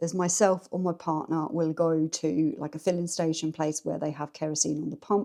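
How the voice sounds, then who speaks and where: On a very clean recording with a silent background, a woman speaks at a moderate pace in an English accent. Her voice is very deep, low, dark and mellow, with fairly even intonation. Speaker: lifestyle vlogger. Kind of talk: casual chat. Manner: chatty, rambling pace.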